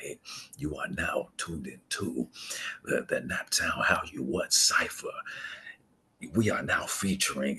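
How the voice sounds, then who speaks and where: A man puts on a raspy character voice. He speaks at a fairly slow pace, leaving long, frequent pauses. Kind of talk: radio announcer.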